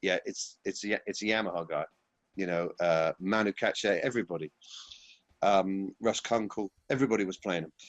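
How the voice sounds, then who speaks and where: Here a man speaks in a Yorkshire accent. His pitch is fairly low and his intonation fairly even. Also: moderate pace. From Yorkshire, northern England. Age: 40s. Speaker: session drummer. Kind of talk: casual interview. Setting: at home.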